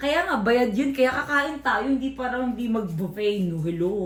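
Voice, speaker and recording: A woman speaks at a fairly slow pace with lively intonation, with noticeable background noise and audible room echo. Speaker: vlogger. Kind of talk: casual travel vlog. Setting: hotel on vacation.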